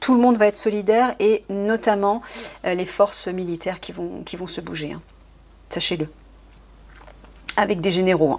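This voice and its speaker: A woman speaks at medium pitch with big swings in loudness and long, frequent pauses. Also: ordinary pitch variation. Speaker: card reader and spiritual advisor. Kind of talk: tarot-style card reading. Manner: fast.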